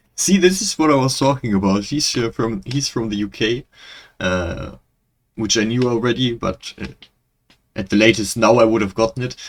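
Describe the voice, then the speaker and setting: A man with a German accent at a medium pitch, with ordinary pitch variation and long, frequent pauses, in a very clean recording with a silent background. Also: moderate pace. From Germany. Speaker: reaction video creator. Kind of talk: casual commentary. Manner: halting.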